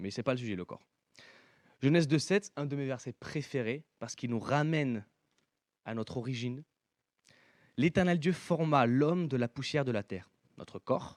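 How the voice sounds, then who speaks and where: A man with an ordinary speaking voice, fairly high in pitch, with ordinary pitch variation, in a dry, close recording with no echo, very clean with a silent background. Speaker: preacher. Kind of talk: sermon.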